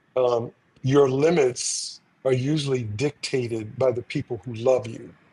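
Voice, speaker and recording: At a fairly slow pace, a man of medium pitch speaks with a dark, mellow, somewhat breathy tone and fairly even intonation. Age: 70s. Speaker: actor. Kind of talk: casual chat.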